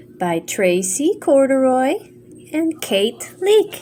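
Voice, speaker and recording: With noticeable background noise behind her, a woman talks at a very slow pace in a high voice that makes very wide pitch swings. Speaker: grandmother reading to children. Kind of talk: children's bedtime story reading.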